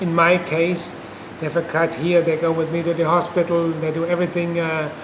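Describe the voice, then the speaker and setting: Over noticeable background noise and audible room echo, a man speaks in a high pitch with monotone, flat intonation. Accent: German. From Germany. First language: German. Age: 50s. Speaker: patient. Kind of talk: testimony. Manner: halting.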